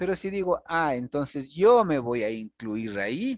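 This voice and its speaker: Speaking at a fairly slow pace with very wide pitch swings, a man with a fairly high pitch is heard in a dry, close sound with no echo over a quiet background. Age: 60s. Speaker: university lecturer. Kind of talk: lecture.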